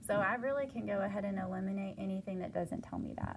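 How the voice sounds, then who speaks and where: Noticeable background noise behind a woman speaking. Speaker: math teacher. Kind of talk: homework help tutorial. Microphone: phone near.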